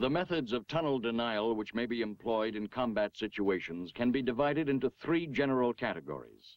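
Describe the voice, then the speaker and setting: Against a quiet background, a man speaks with lively intonation and hardly any pauses, the sound dry with no echo. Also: fairly quick pace. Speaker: training film narrator. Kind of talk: vintage US Army training film narration, scripted and authoritative. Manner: steady instructional pace, emphatic on procedures. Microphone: old recording.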